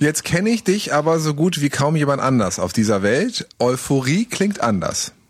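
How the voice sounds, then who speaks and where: The speaker keeps a very even loudness while the pitch swings very widely, at a moderate pace. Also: man, fairly high pitch for a man. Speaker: podcast co-host, radio presenter. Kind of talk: casual chat. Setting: recording from home, remote. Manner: gets louder to make a point.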